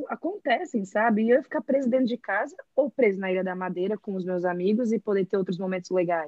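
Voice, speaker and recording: A woman with medium pitch and an ordinary speaking voice talks at a fairly quick pace, her intonation lively. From Brazil, Brasília. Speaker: architect and graphic designer. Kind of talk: casual chat.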